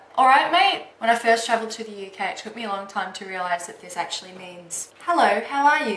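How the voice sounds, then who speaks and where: A woman with an Australian accent at a moderate pace, over noticeable background noise. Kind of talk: casual talk to camera.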